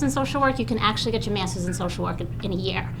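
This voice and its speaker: A woman with a Long Island accent, amid noticeable background noise and audible room echo. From Long Island, New York. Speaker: social work professor. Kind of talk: testimony at public forum. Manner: halting, many fillers.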